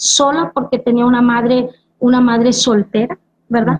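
A woman's high-pitched voice. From Mexico, Veracruz (Tuxpan). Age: 50s. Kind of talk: religious testimony.

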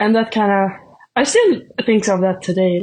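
Against a quiet background, a woman talks at a medium pitch. Her pace is fairly quick. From Sweden. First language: Swedish. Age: 20s. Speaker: shot putter, student athlete. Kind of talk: casual interview. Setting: remote call.

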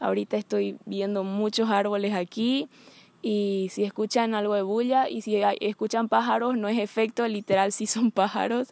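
The sound is dry and close with no echo, and the intonation stays fairly even. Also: woman, medium pitch for a woman, moderate pace. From Bolivia. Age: 20s. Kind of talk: personal testimony. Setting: outdoors among trees.

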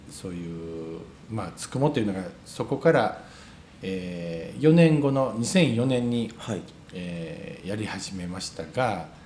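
With audible room echo, a man speaks at a fairly slow pace in a fairly low pitch, making very wide pitch swings and big swings in loudness. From Wakayama, Ryujin village. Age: 40s. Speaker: restaurant owner. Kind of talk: interview. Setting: cafe. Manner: halting.

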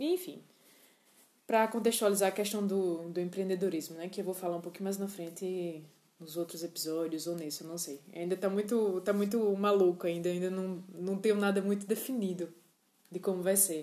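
Speaking with fairly even intonation, a woman keeps a moderate pace at a medium pitch. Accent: northeastern Brazilian. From Northeast Brazil, João Pessoa. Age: 20s. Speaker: podcaster. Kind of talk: casual monologue. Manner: hesitant, many fillers.

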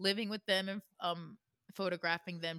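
A woman's very fast, bright, sharp voice in a dry, close sound with no echo. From Florida. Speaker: podcast co-host. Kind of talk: casual chat with storytelling.

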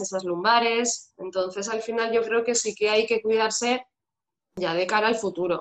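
Speaking at a fairly slow pace, a woman has a plain, everyday voice, medium in pitch, with fairly even intonation. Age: 30s. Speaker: fitness instructor. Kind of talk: interview.

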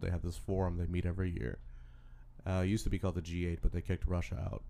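A man's very deep, low voice with a dark, mellow tone at a very fast pace. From Louisiana, Baton Rouge. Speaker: political candidate. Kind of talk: casual chat.

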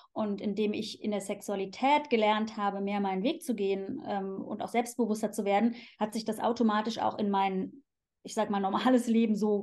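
Here is a woman with an ordinary speaking voice, pitched fairly high. She speaks at a fairly quick pace with fairly even intonation. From Germany, Cologne. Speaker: sexologist. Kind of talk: casual interview.

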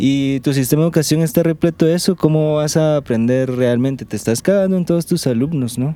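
A man's fairly high, an ordinary speaking voice, at a fairly quick pace with ordinary pitch variation and hardly any pauses. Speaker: podcast host. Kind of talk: casual chat. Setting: outdoors.

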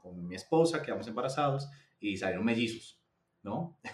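A man with lively intonation. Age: 30s. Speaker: real estate data manager. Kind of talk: interview.

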